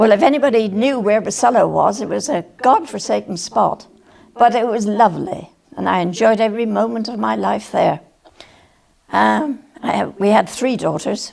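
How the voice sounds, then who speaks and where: A woman speaks in a Cornish accent. Her pace is moderate. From Cornwall, England. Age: 90s. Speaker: retired nurse and farmer's wife recalling local history. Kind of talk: oral history interview. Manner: halting, with fillers.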